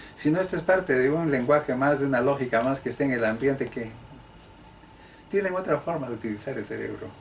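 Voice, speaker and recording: An ordinary speaking voice. The pace is fairly quick. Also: man. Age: 60s. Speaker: sociologist and historian, professor. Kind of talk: interview.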